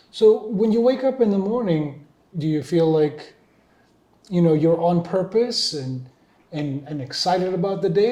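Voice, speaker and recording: A man with a high-pitched voice talks at a fairly slow pace, his tone dark and mellow and his pitch varying in an ordinary way. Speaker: interviewer. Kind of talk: interview questions.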